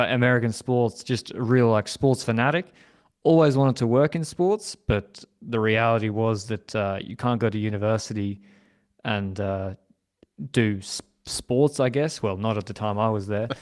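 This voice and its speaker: Using an Australian accent, a man speaks at a moderate pace and a medium pitch with ordinary pitch variation. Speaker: cycling podcast host and team strategist. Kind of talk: podcast interview. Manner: halting, with repetitions.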